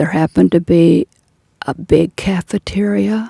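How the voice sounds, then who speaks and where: A woman speaks with a very deep, low pitch, a dark, mellow tone and vocal fry, her pitch swinging very widely. The sound is dry and close, with no echo. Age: 80s+. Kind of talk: interview answer.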